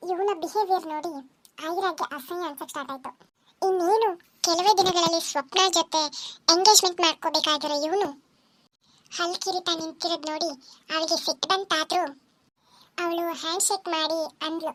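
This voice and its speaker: On a very clean recording with a silent background, a woman speaks at an extremely high pitch. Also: fairly slow pace. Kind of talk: serial audio story narration. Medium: read story.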